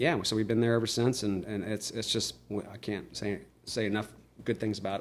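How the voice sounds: A man speaks at a moderate pace. His pitch is fairly low and moves very little.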